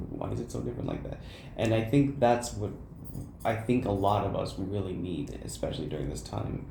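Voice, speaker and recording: With audible room echo, a man speaks fairly quickly at a fairly low pitch that swings very widely. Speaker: college student podcaster. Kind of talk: casual chat. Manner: stuttering.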